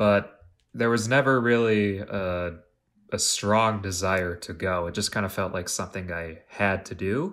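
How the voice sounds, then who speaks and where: A man's plain, everyday voice, fairly low and fairly slow, with ordinary pitch variation, on a very clean recording with a silent background. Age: 20s. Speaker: college dropout, coffee shop worker. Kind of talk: casual chat.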